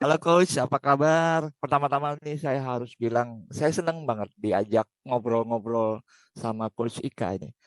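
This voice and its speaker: Over a quiet background, a man of medium pitch talks at a moderate pace in a normal speaking voice, the sound dry and close with no echo. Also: ordinary pitch variation. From Indonesia (Surabaya, East Java). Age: 60s. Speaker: corporate trainer. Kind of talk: casual interview chat.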